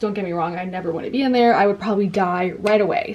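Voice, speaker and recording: Noticeable background noise sits behind a woman whose tone is animated. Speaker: booktuber. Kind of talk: casual chat.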